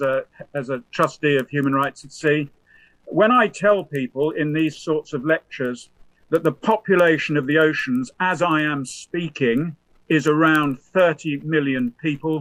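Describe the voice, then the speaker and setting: With ordinary pitch variation, this man talks at a fairly high pitch. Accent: British. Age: 70s. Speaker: professor and former naval officer. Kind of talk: lecture. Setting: remote presentation to conference. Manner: halting, with frequent fillers.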